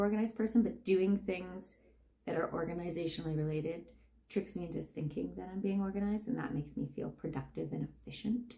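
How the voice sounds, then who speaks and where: At a very fast pace, a woman talks in a medium pitch with ordinary pitch variation over noticeable background noise. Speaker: novelist and vlogger. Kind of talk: casual vlog talk.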